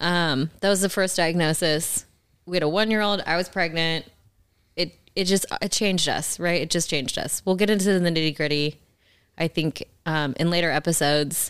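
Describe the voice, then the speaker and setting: This woman has an unremarkable speaking voice with a fairly low pitch. She talks at a moderate pace. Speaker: podcast co-host, wife and caretaker of cancer patient. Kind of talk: casual chat.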